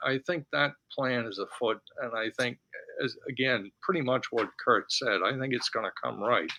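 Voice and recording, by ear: Moderately paced and at a medium pitch, a man's voice has a bright, sharp tone, vocal fry and ordinary pitch variation.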